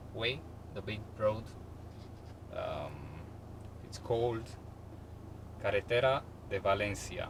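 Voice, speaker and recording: A man with a non-native accent speaks at a very slow pace with fairly even intonation and long, frequent pauses, over noticeable background noise and audible room echo. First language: not English. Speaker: YouTuber filming driving videos. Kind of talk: casual driving commentary vlog. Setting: in a car, driving. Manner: halting, many filler sounds.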